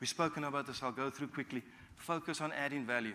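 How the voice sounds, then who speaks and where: A man with a medium pitch and a bright, sharp tone talks at a very fast pace. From South Africa, Cape Town. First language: Afrikaans. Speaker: business executive and guest speaker. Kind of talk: guest talk to university students.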